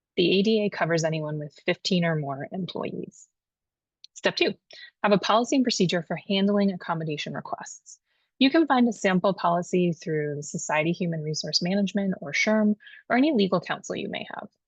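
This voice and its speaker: A woman speaks at a medium pitch, somewhat breathy, with lively intonation. The background is quiet. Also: fairly quick pace, dry, close sound with no echo. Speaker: HR consultant. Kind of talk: tutorial. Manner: fast.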